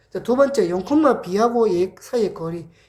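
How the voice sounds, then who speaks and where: Audible room echo surrounds a woman whose fairly high-pitched voice has a dark, mellow tone. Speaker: math tutor. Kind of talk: lecture. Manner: casual.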